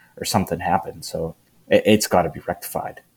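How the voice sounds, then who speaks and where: The speaker is a man with a fairly low pitch. He keeps a fairly quick pace. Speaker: podcast guest. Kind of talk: casual sports banter. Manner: jokey, repeats rivalry catchphrase.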